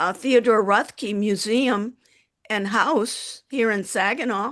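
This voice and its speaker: Against a quiet background, a woman speaks at a fairly slow pace in a fairly high voice. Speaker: prospective student. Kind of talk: casual chat. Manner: loud; halting.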